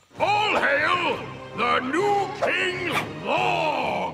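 In a put-on character voice, a man shouts at a very slow pace with an extremely high pitch, a bright, sharp tone, vocal fry and lively intonation, while faint music plays in the background.

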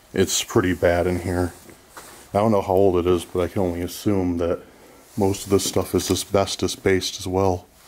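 A man speaks with a very deep, low pitch and monotone, flat intonation. He keeps a moderate pace with long, frequent pauses. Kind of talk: casual exploration commentary. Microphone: phone near.

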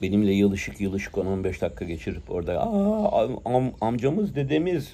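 With light background noise behind him, a man speaks at a moderate pace. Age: 60s. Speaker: prayer bead collector and commentator. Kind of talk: monologue commentary; casual vlog chat, opinionated monologue. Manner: hesitant with filler sounds. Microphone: phone near.

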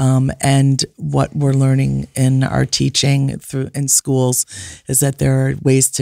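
Against a quiet background with a dry sound and no echo, a woman with a very deep, low pitch and a dark, mellow tone speaks at a very slow pace. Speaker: family counselor and author; guest. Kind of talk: casual chat. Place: studio. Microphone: studio mic.

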